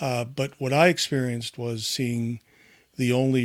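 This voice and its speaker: A man with an ordinary speaking voice and an American accent, medium in pitch, at a moderate pace, in a dry, close sound with no echo. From United States. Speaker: podcast guest. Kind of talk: casual chat. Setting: remote call.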